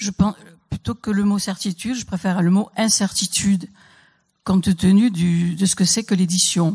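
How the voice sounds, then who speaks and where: With a dry, close sound and no echo, a woman speaks at a moderate pace in a somewhat breathy, dark, mellow tone, her medium pitch held in fairly even intonation. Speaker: poet and writer. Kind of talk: panel talk. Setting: stage with audience. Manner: halting.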